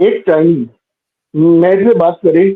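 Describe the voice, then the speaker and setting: A man is speaking here. His intonation is lively. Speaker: atheist debater calling in. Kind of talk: live online debate. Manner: halting. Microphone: voice cutting out.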